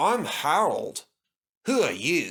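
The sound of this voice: This put-on character voice has very wide pitch swings, a fairly bright tone, a slightly husky edge and vocal fry, in a very clean recording with a silent background. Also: man.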